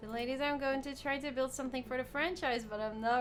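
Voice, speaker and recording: A woman talks at a fairly quick pace with a high pitch. Noticeable background noise is present. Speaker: video game streamer. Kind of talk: live gameplay commentary. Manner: calm.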